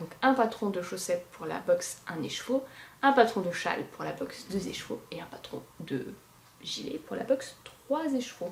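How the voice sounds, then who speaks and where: At a fairly slow pace, a woman speaks with big swings in loudness. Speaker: knitting podcaster. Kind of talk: casual monologue podcast. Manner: hesitant with many fillers.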